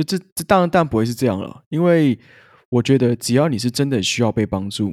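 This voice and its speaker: In a plain, everyday voice, a man speaks at medium pitch and a moderate pace with lively intonation, the sound dry and close with no echo on a very clean recording with a silent background. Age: 20s. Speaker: podcast co-host and growth training consultant. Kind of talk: casual chat.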